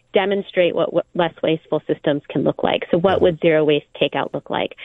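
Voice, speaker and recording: A woman speaks in a fairly low voice with a Californian accent. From Southern California. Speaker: environmental nonprofit director. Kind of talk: radio interview.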